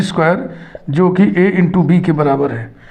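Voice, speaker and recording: Noticeable background noise and an audible room echo surround the speech. The speaker moves at a moderate pace with ordinary pitch variation. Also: man. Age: 60s. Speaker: math teacher. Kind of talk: lecture.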